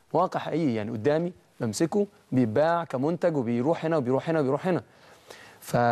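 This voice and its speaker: A man's fairly high voice, with ordinary pitch variation, moves at a moderate pace. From Egypt (first ten years in Saudi Arabia). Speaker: young inventor, science competition winner. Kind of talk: TV interview. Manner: hesitant, many fillers.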